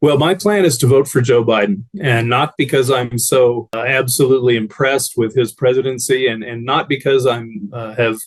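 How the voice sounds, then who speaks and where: Speaking with an American accent at a medium pitch, a man uses a normal speaking voice at a moderate pace, with ordinary pitch variation and hardly any pauses. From Arizona. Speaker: former Republican voter giving testimony. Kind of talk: testimony.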